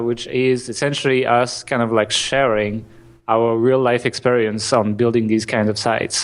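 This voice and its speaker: At a moderate pace and medium pitch, a man speaks in a flat monotone with very even loudness. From France. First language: French. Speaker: marketing entrepreneur. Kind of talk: podcast interview. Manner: halting, many restarts.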